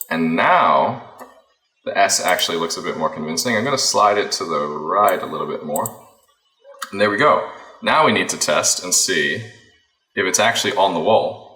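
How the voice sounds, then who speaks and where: A man's American accent is heard along with audible room echo. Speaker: FPV drone pilot and video editor. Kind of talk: tutorial. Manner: casual, thinking aloud.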